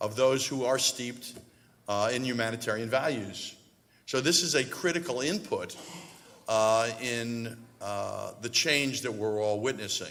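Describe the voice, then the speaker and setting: Audible room echo surrounds a man speaking at a fairly slow pace with medium pitch and ordinary pitch variation. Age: 60s. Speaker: real estate investor and university donor. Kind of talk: panel discussion remarks. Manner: halting, many fillers.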